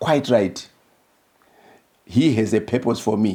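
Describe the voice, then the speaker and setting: His pitch varies in an ordinary way. The man's tone is dark and mellow. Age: 70s. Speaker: former government minister. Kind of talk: interview. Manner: halting.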